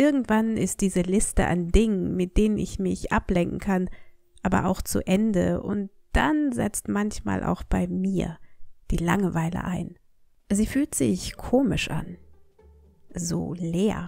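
Calm in tone, a woman speaks at a very slow pace, with long, frequent pauses. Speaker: language teacher. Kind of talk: storytelling.

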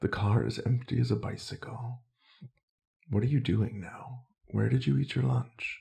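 This man's voice sits at medium pitch with a dark, mellow tone and vocal fry, moving at a moderate pace with ordinary pitch variation. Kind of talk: ASMR poetry reading. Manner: soft-spoken, not whispered.

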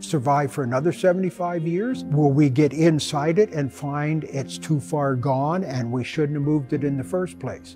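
A man speaks at a fairly slow pace with clear music in the background. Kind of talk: interview answer. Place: workshop.

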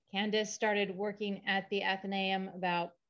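The voice keeps fairly even intonation at a moderate pace over a quiet background. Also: woman. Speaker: event host. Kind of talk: event introduction. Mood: warm, welcoming. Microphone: video call.

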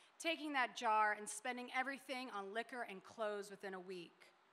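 A woman with an American accent and an unremarkable speaking voice talks at a moderate pace, her fairly high pitch carrying lively intonation. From Denver, Colorado. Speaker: short story writer. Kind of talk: panel discussion; reading aloud. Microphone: podium.

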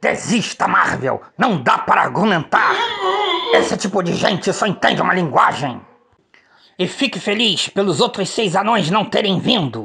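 Using a put-on character voice, a man speaks high and raspy with lively intonation. His pace is moderate. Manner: fussy, excitable.

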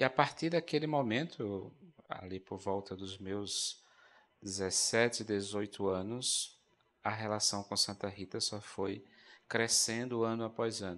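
A man speaks at a very slow pace with a fairly low pitch and ordinary pitch variation. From Brazil, Rio Grande do Norte (Currais Novos). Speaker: Augustinian friar, religious TV presenter. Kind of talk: religious talk show discussion. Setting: studio. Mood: warm, devotional, reflective. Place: stage. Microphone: handheld.

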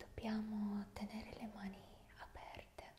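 In this clip, a woman whispers. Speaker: relaxation video host. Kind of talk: soft guided tutorial. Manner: slow, soft guiding murmur. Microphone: studio mic.

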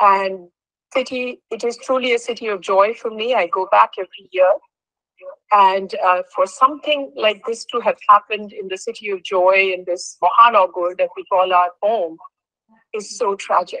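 A woman speaks in a bright, sharp tone with big swings in loudness and ordinary pitch variation. The sound is dry with no echo, over a quiet background. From Kolkata, India. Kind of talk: heartfelt statement at a virtual meeting. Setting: video call. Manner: earnest, code-switching Bengali and English. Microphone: video call.

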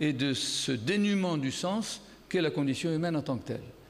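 Moderate pace and lively intonation, with audible room echo. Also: man. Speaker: philosopher giving a conference talk. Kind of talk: lecture. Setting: stage with audience. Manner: speaking loudly.

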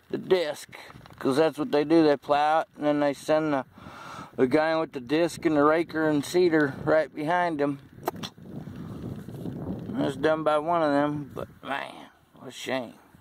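Over noticeable background noise, a man speaks at a fairly slow pace with long, frequent pauses and fairly even intonation, the sound dry with no echo. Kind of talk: casual vlog chat. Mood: pleased, relaxed. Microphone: phone near.

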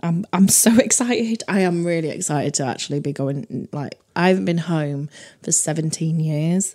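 A woman with a northern English accent, animated in tone, at a moderate pace with ordinary pitch variation. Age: 30s. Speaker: comedy podcast co-host. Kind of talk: casual chat. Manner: animated, laughs often.

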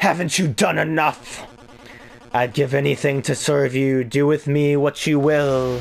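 A man puts on a character voice at a fairly high pitch and moderate pace. Background noise is clearly present. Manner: submissive, pleading.

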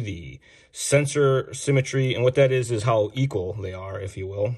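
A somewhat breathy man at a fairly slow pace. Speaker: RC hobby show host. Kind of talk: product demo tutorial. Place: workshop.

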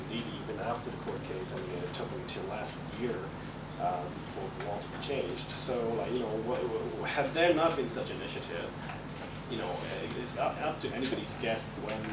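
Loud background noise sits behind the speaker. A man talks at a fairly quick pace. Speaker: guest. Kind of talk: interview answer. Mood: reflective, relaxed. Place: classroom.

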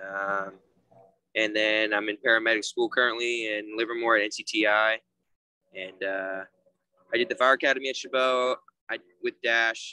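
In a dry recording with no echo, a man with an American accent and a bright, sharp tone speaks with fairly even intonation and long, frequent pauses. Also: moderate pace. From US West Coast. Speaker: EMT and paramedic student; guest. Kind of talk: casual career talk on video call. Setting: video call. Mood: relaxed, friendly. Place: street. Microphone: video call.

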